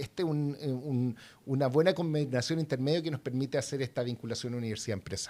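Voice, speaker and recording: A man with a normal speaking voice talks at a fairly quick pace. His pitch variation is ordinary. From southern Chile. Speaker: university innovation director. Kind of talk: interview.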